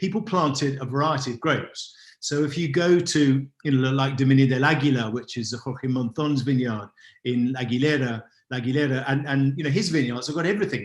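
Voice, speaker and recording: Speaking at a very fast pace, a man with an English accent has a somewhat breathy voice at a fairly high pitch, with ordinary pitch variation. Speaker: wine expert. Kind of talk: online masterclass talk.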